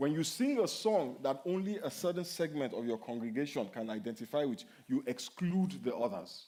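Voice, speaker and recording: A man with a Nigerian accent speaks at a fairly high pitch, with very wide pitch swings. He keeps a moderate pace with hardly any pauses. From Nigeria (Yoruba). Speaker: pastor. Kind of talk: sermon Q&A. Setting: church.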